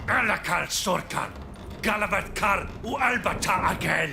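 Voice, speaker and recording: The speaker uses a put-on character voice that sounds female, at medium pitch. Clear background noise can be heard. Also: moderate pace. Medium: video game. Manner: curt, angry.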